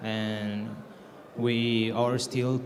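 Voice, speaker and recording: A man's medium-pitched voice with a Spanish accent and monotone, flat intonation, plus audible room echo and noticeable background noise. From Mexico. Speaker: game developer. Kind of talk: conference panel introduction. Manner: halting, many fillers.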